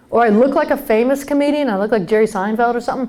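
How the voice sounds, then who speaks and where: A woman with an American accent talks at a very fast pace in a high pitch with ordinary pitch variation. Noticeable background noise is present. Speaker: comedian and keynote speaker. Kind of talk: humorous keynote talk to a live conference audience. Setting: live stage with audience. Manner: lively, conversational, comedic timing.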